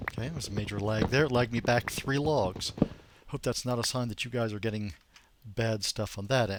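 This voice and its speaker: With an American accent, a man speaks at a fairly quick pace in a medium pitch with ordinary pitch variation. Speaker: gamer streamer. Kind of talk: live gameplay commentary. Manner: casual, conversational.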